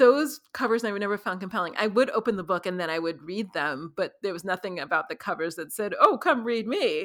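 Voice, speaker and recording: A woman's plain, everyday voice at medium pitch, with lively intonation and a moderate pace, on a very clean recording with a silent background. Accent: American. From US, New York City. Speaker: podcast host and crime novelist. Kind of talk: casual chat.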